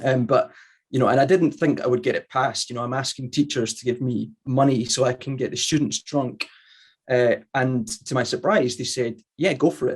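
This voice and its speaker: A man talks at a moderate pace with a medium pitch and vocal fry. His pitch varies in an ordinary way. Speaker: sake brewer. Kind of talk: interview. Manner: hesitant, many fillers.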